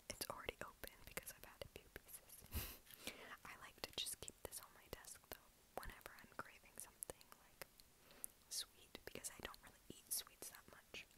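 The voice belongs to a woman. She whispers at a moderate pace. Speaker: ASMR creator. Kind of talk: ASMR whisper ramble. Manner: whispered. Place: home room. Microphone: earbuds.

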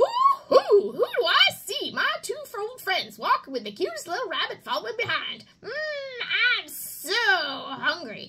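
A female-sounding voice in a put-on character, raised and projected, pitched extremely high and moving at a fairly slow pace. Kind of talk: children's storytime reading. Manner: excited, playful.

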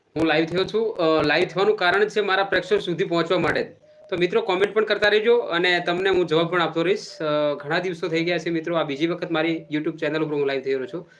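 Fairly even intonation over noticeable background noise. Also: man, high pitch for a man. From Gujarat, Banaskantha, Vav taluka. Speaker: YouTuber and local political worker. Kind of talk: live stream address to viewers.

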